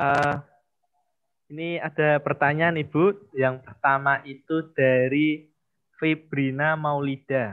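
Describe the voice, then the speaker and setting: A man's fairly high voice, very slow in pace, with fairly even intonation. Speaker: student event MC. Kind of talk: formal event hosting. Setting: video call.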